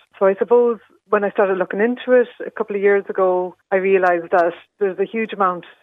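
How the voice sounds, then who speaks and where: A woman's medium-pitched voice, at a very fast pace, with fairly even intonation. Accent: Irish. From Ireland, Leitrim. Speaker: candle maker. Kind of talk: radio interview.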